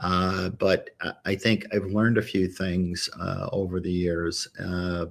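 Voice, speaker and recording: Spoken in a monotone with flat intonation and an American accent, at a very slow pace with hardly any pauses. The recording is very clean, with a silent background. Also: man, very deep, low pitch for a man. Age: 60s. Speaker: lawyer. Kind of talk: testimony. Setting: livestream.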